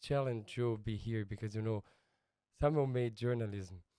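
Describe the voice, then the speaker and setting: Medium in pitch, a man speaks with a Brazilian accent. His tone is dark and mellow. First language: Portuguese. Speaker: missionary pastor. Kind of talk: casual interview. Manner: halting non-native English.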